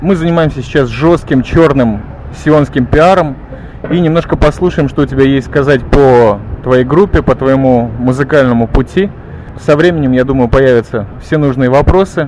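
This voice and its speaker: Over noticeable background noise, a man speaks at a medium pitch and moderate pace, keeping his loudness very even and his pitch variation ordinary. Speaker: radio podcast host. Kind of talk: casual interview. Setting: microbrewery bar in Tel Aviv. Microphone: old media player recording, poor quality.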